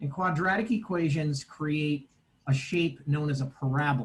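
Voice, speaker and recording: A man talks in a plain, everyday voice. His pitch is fairly high, with ordinary variation. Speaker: math teacher. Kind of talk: online lecture.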